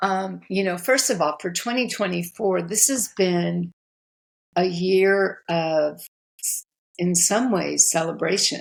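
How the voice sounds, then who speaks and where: On a very clean recording with a silent background, the words unfold very slowly. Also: woman. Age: 70s. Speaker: relationship coach and author. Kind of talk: podcast interview.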